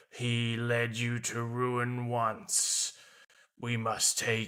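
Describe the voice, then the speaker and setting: A man performs a put-on character voice. He talks at a very slow pace. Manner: tormented.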